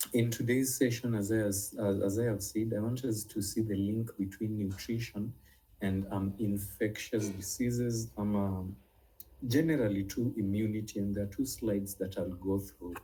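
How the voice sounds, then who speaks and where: Speaking at a moderate pace, a man with a fairly low, somewhat breathy voice has a dark, mellow tone and fairly even intonation. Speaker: nutrition and herbal medicine teacher. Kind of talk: online class lecture. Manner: hesitant, many fillers.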